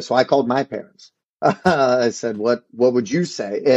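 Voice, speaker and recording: At a moderate pace, a man with a medium pitch and ordinary pitch variation talks in a plain, everyday voice, the sound dry and close with no echo. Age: 30s. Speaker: martial arts school owner. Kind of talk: interview.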